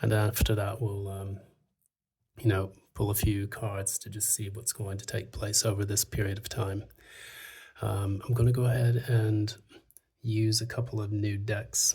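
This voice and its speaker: Soft-spoken and somewhat breathy, a man with a dark, mellow tone talks at a moderate pace and fairly low pitch, his intonation monotone and flat, with long, frequent pauses. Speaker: tarot reader. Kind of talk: tarot reading. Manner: soft-spoken, quiet; hesitant, many fillers.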